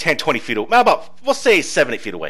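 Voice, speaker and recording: Words come out very quickly. Background noise is clearly audible. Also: man. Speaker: game master. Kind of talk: tabletop roleplaying narration. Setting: online voice chat. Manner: casual, laughs often.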